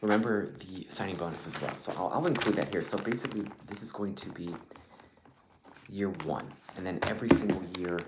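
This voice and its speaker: Whispering and soft-spoken at a fairly quick pace, this relaxed-toned voice swings widely in loudness over noticeable background noise. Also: man. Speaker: ASMR role-play interviewer. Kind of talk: ASMR job interview role play, casual conversational talk. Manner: soft-spoken, whispery, relaxed.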